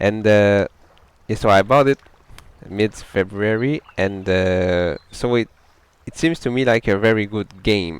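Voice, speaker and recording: A man with a French Canadian accent, fairly low in pitch, at a fairly slow pace with long, frequent pauses and ordinary pitch variation, in a dry, close sound free of echo. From Quebec, French Canada. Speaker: gamer. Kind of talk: casual gameplay talk. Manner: halting, with self-corrections.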